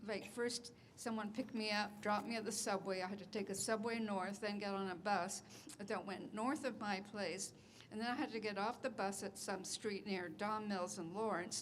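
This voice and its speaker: A woman's medium-pitched voice, fairly even in intonation, moves at a moderate pace while noticeable background noise continues. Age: 80s+. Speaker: transit service customer. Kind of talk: public comment. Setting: public meeting with audience. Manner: halting.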